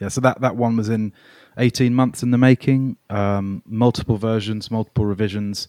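A man's medium-pitched, dark, mellow voice with a southern English accent, monotone and flat at a moderate pace, dry and close with no echo, on a very clean recording with a silent background. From England, raised near London from age nine (born Melbourne). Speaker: singer-songwriter. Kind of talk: casual chat. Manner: halting.

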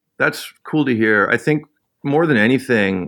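A man with a Canadian accent speaks in a normal speaking voice at a moderate pace, with lively intonation over a quiet background. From Canada. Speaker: musician. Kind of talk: casual chat.

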